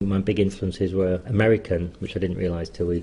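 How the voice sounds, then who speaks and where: A man with a Yorkshire accent and a fairly low pitch. His tone is dark and mellow, somewhat breathy, with fairly even intonation. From northern England, Leeds. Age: 50s. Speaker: menswear writer. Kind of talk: personal memoir talk. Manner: casual with hesitations.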